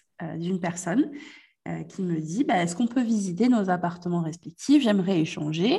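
Her intonation lively and her voice somewhat breathy, a woman talks at a moderate pace. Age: 20s. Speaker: business coach. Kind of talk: casual chat.

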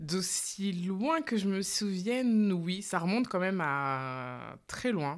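Over a silent background in a very clean recording, a woman of medium pitch speaks very slowly. Her intonation is lively. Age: 30s. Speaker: relaxation therapist and mother. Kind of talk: casual interview. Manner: hesitant, many fillers.

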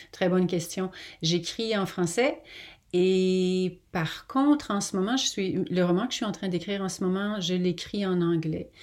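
Speaking fairly slowly, a woman with a plain, everyday voice has a medium pitch and ordinary pitch variation. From Quebec. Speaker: novelist. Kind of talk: interview. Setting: remote call.

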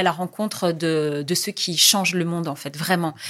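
A woman's fairly low-pitched voice over noticeable background noise. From Tunisia, Jendouba region. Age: 40s. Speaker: journalist. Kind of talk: interview.

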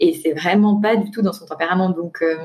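A woman talks with a fairly low pitch. Her intonation stays fairly even. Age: 20s. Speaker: guest seeking couple advice. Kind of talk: personal testimony. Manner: hesitant with frequent fillers.

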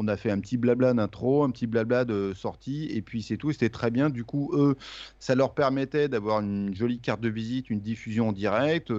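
An unremarkable speaking voice proceeds at a moderate pace with ordinary pitch variation. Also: man, medium pitch for a man. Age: 50s. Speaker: music interviewer and podcaster. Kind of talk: casual chat.

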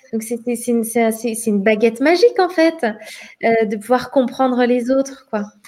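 With long, frequent pauses and a fairly slow pace, a woman speaks in a high pitch with ordinary pitch variation over noticeable background noise. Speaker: meditation and qigong teacher. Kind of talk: casual chat. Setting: video call.

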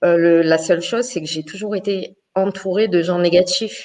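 With an unremarkable speaking voice, a woman talks at a fairly slow pace, her fairly low pitch held in fairly even intonation. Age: 40s. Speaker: live show participant. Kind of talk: casual chat.

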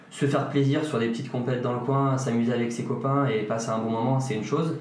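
A man's very fast voice with fairly even intonation, audible room echo and noticeable background noise. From France, Ardennes. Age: 30s. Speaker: physiotherapist. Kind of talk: interview. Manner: halting.

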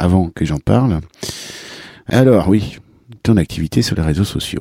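On a very clean recording with a silent background, a man's very deep, low voice has a dark, mellow tone and a dry, close sound with no echo. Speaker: podcast host and cycling vlogger. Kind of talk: casual interview.

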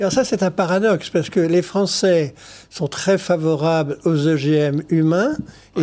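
Speaking at a fairly slow pace, a man with a high, dark, mellow voice keeps his loudness very even and his pitch variation ordinary. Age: 70s. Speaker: scientist. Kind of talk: TV debate interview.

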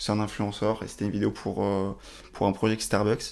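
A man with a fairly low pitch. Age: 20s. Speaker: video production entrepreneur. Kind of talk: interview. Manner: halting.

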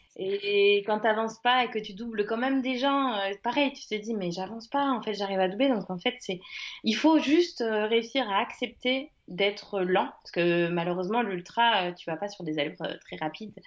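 Her intonation is lively and her pitch fairly high. This woman speaks at a moderate pace. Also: big swings in loudness. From France, Le Mans (Sarthe). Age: 30s. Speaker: ultra-trail runner. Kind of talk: interview. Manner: hesitant, many fillers.

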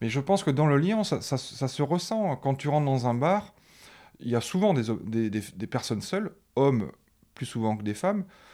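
This man's fairly high voice has a dark, mellow tone and very wide pitch swings. He leaves long, frequent pauses, and the recording is very clean with a silent background. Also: moderate pace. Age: 40s. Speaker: father of a teenager. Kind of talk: casual chat. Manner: halting.

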